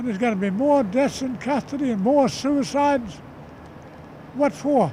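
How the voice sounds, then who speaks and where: Against noticeable background noise, a man speaks at an extremely high pitch. His intonation is lively and his pace moderate. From Australia. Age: 70s. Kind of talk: protest interview. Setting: outdoors at a rally. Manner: animated.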